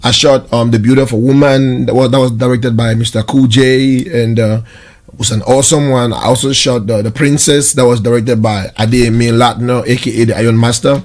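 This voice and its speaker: Here a man speaks at a fairly quick pace. His intonation is monotone and flat. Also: medium pitch for a man. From Southern Cameroon (Ambazonia). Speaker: video production studio owner. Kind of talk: interview answer. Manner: optimistic.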